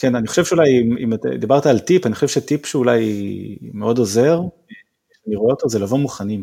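A man speaks very fast in a medium-pitched voice with a dark, mellow tone, breaking it up with long, frequent pauses. His pitch variation is ordinary. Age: 30s. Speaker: design team manager. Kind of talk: interview.

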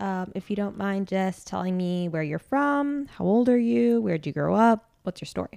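A woman speaks at a moderate pace in a slightly mellow tone with vocal fry and ordinary pitch variation, the sound dry and close with no echo. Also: medium pitch for a woman, very clean recording, silent background.

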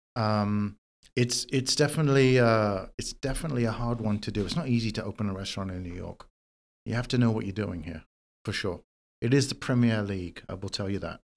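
On a very clean recording with a silent background, a man speaks at a fairly quick pace. His pitch is fairly low, with ordinary pitch variation. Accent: London. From London, England. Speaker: chef. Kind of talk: interview. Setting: in person, New York City.

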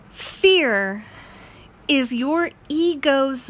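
Her voice is high-pitched for a woman, with lively intonation. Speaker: motivational podcaster. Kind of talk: motivational monologue.

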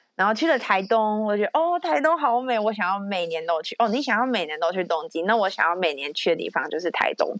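A woman with a medium pitch races along at a very fast pace, with hardly any pauses and very wide pitch swings. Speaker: podcast host. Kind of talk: casual chat.

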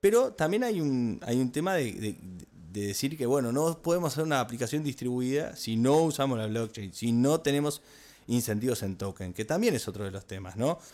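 A man talks at a moderate pace with a medium pitch and a dark, mellow tone. His intonation is lively. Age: 30s. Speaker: podcast co-host. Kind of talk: casual chat.

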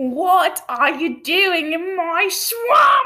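An extremely high-pitched, put-on character voice from a woman. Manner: loud.

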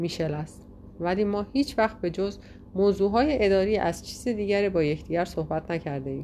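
Reading in an unforced voice

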